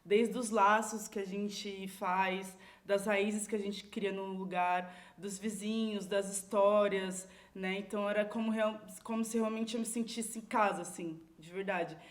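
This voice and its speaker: Audible room echo surrounds a woman's medium-pitched voice. Her intonation stays monotone and flat while her loudness swings a lot. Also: fairly slow pace. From Brazil, São Paulo (Água Espraiada community). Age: 30s. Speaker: community leader. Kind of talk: podcast interview. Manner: casual, filler-heavy.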